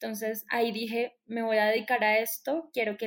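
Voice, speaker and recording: A woman speaks with a Colombian accent at a moderate pace. Her pitch is fairly high. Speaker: astrologer. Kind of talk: interview.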